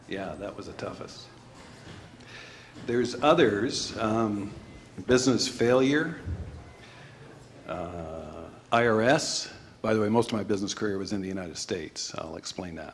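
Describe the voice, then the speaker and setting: In a room with audible echo, a man with a Canadian accent speaks at a moderate pace and a fairly low pitch, leaving long, frequent pauses. His intonation is lively and his loudness swings widely. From Canada. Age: 60s. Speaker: financial manager and entrepreneur. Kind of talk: talk with Q&A to an audience. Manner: hesitant, many fillers.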